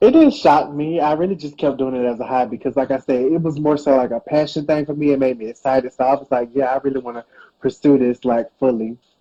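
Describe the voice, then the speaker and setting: Barely pausing, a man with an American accent races along at a very fast pace in a dark, mellow tone, his fairly high pitch held to a fairly even intonation. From US South, Georgia. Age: 20s. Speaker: hairstylist and online creator. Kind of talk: interview.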